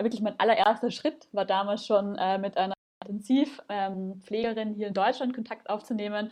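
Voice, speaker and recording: With a slight Viennese accent, a woman speaks at medium pitch and a moderate pace, her intonation fairly even. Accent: slight Viennese Austrian. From Vienna, Austria. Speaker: startup founder. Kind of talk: podcast interview.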